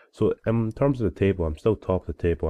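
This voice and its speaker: A man talking at a very fast pace. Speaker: gaming YouTuber. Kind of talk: video game commentary. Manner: casual.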